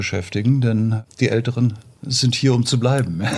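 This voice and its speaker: Somewhat breathy, a man is talking. His intonation stays fairly even. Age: 50s. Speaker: podcast co-host. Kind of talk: interview.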